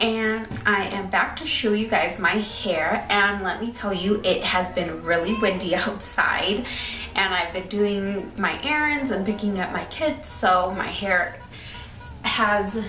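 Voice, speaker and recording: Faint music plays behind a woman whose pitch varies in an ordinary way. She talks at a fairly slow pace, and room echo can be heard. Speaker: hair vlogger. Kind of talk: casual vlog chat. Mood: excited, cheerful. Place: home room. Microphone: phone near.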